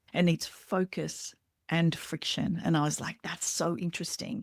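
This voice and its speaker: The speech moves at a fairly slow pace. The sound is dry and close with no echo, and the recording is very clean over a silent background. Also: woman. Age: 50s. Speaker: somatic therapist and podcast host. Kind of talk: casual interview chat.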